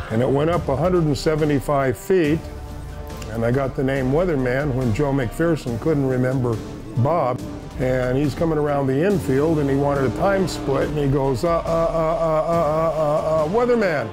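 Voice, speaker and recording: With clear music in the background, a man with a fairly high pitch talks at a moderate pace, his loudness very even and his pitch varying in an ordinary way. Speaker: race radio dispatcher and safety communicator. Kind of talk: interview answer, casual storytelling. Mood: reminiscing, wry humor. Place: studio.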